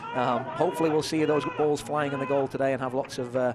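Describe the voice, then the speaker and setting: A man with an English accent and a fairly high pitch speaks in a monotone, flat way, with noticeable background noise behind him. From England. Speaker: color commentator. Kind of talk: live sports commentary.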